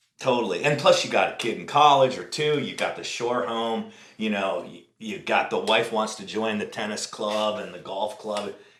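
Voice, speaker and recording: In a room with audible echo, a man speaks at a medium pitch with ordinary pitch variation. His loudness swings widely and he barely pauses. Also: moderate pace. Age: 60s. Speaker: podcast host. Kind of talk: casual chat.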